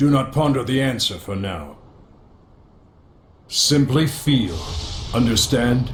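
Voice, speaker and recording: A man puts on a character voice at medium pitch. He talks at a fairly slow pace with long, frequent pauses. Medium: short film. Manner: solemn, ceremonial.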